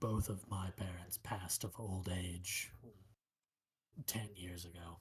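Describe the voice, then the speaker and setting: At a fairly slow pace, a man delivers lines in a put-on character voice pitched very deep and low. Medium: actual play. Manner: measured, solemn, philosophical.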